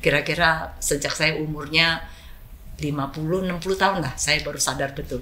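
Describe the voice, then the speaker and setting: The speech moves at a moderate pace with fairly even intonation, and room echo is audible. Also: woman. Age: 70s. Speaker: business executive. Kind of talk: interview.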